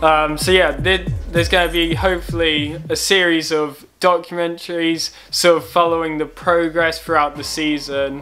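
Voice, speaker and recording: Faint music plays in the background as a man talks at a moderate pace. His intonation is fairly even, with hardly any pauses. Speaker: club runner vlogger. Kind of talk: casual vlog chat. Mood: relaxed, calm. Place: home room. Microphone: webcam.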